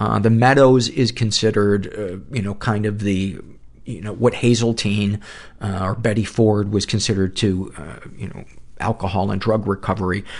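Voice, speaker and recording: At a moderate pace, a plain, everyday voice keeps a fairly even intonation while showing big swings in loudness. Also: man, fairly low pitch for a man. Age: 50s. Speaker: podcast host. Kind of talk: casual interview.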